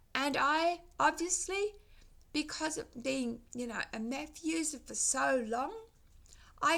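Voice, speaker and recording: Lively intonation and a bright, sharp tone come through in an Australian accent. The pace is very slow. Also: woman. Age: 60s. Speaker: vlogger. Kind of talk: casual vlog monologue. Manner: halting.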